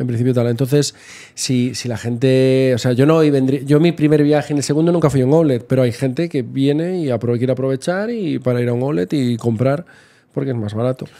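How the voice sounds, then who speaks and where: A man's dark, mellow tone at a fairly quick pace, with ordinary pitch variation. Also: medium pitch for a man. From Spain. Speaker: travel blogger. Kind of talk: casual chat. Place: home room. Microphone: studio mic.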